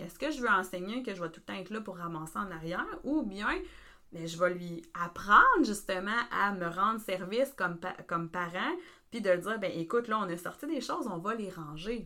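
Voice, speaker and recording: Speaking with a Quebec accent, a woman uses lively intonation at a medium pitch and a moderate pace. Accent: Québécois French. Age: 30s. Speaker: family support worker. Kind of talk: casual podcast discussion.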